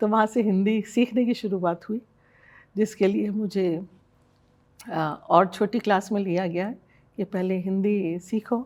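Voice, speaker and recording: A woman speaks at medium pitch with fairly even intonation, leaving long, frequent pauses. The recording is very clean, with a silent background. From Jaipur, Rajasthan, India (born in Burma). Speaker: hospital managing director. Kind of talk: interview.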